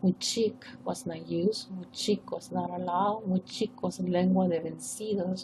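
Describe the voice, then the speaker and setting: In a Peruvian accent, a woman speaks at a fairly slow pace. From northern coast of Peru. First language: Spanish. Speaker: professor. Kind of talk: academic presentation. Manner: formal.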